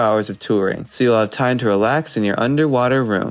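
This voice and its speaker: This man's voice is a normal speaking voice, medium in pitch. He talks at a fairly quick pace. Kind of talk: mock travel infomercial read.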